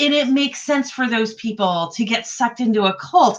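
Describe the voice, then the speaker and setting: In an East Coast US accent, a woman speaks at a moderate pace with lively intonation. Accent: East Coast (per own remark). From US East Coast (New York, Ohio, Delaware). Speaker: writing group host. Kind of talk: casual chat. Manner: halting, many fillers.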